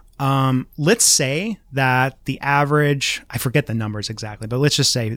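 A man talks in an ordinary speaking voice at a moderate pace. His pitch is medium and his intonation fairly even. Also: very clean recording, silent background. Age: 30s. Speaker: marketing professor. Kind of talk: casual interview.

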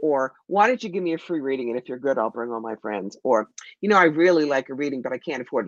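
A woman talks at a very fast pace with vocal fry. The sound is dry and close with no echo, against a quiet background. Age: 60s. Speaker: psychic medium and tarot reader. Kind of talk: casual interview on live stream. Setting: video call.

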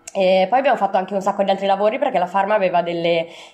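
A woman's voice with ordinary pitch variation. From Italy, Milan. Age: 30s. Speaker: traveller and volunteer. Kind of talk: interview. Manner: halting, with fillers.

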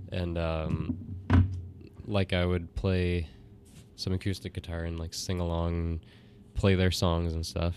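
Over music in the background, a man with a very deep, low pitch speaks at a fairly slow pace in a monotone, flat intonation with long, frequent pauses. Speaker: musician. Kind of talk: casual interview. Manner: halting.

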